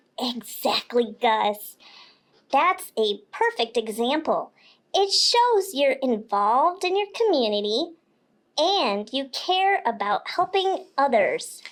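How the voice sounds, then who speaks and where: A woman speaks in a cartoonish character voice, high-pitched, with very wide pitch swings at a fairly slow pace. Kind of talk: kids' educational podcast explanation. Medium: puppet.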